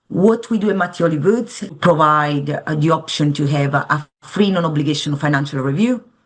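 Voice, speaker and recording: A woman's speech moves at a moderate pace, and her pitch varies in an ordinary way. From Italy. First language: Italian. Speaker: financial advisor. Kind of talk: interview.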